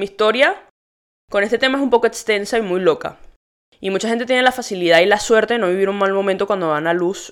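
The speaker has an animated tone with ordinary pitch variation. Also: woman. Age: 20s. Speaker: podcast host. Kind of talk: casual monologue.

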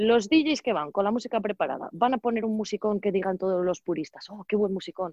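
It is an ordinary speaking voice. The words come at a fairly quick clip. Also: woman. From Spain, Valladolid. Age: 30s. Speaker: DJ and entrepreneur. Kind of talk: casual interview.

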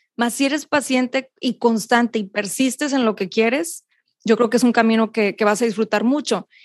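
A woman speaks at a high pitch over a quiet background. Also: dry, close sound with no echo. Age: 30s. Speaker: meditation coach. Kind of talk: interview.

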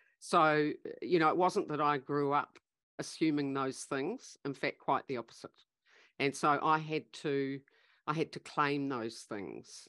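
In a New Zealand accent, a woman speaks at a very deep, low pitch and a fairly slow pace with ordinary pitch variation. The background is quiet, and the sound is dry and close with no echo. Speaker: leadership facilitator and business founder. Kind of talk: interview conversation.

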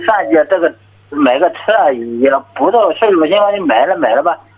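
A high-voiced man talks at a medium speed, his pitch swinging very widely, with clear background noise behind him. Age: 40s. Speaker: caller. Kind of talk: call-in advice conversation. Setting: phone call.

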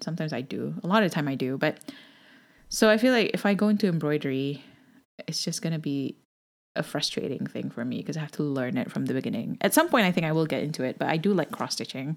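Very fast speech with lively intonation comes through in a very clean recording with a silent background. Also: woman, very deep, low pitch for a woman. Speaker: podcast co-host. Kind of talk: casual chat.

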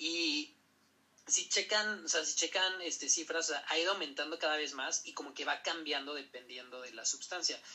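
With a Mexican accent, a man speaks at a moderate pace, his fairly high pitch showing ordinary variation. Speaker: podcast host, medical professional. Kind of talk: casual educational chat.

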